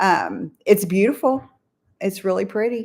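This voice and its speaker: With an American accent, a woman has a normal speaking voice at medium pitch and ordinary pitch variation, in a very clean recording with a silent background. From California. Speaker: YouTube channel co-host. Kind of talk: casual live-stream chat. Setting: live stream.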